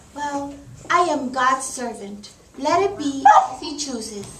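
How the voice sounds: A woman's cartoonish character voice, high-pitched and fairly bright, slow, with lively intonation and audible room echo.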